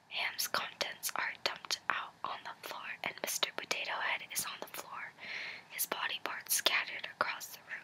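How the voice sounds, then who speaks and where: A whisper at a moderate pace comes through over noticeable background noise. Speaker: ASMR creator. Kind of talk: whispered reading and rambling. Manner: whispering; soft-spoken.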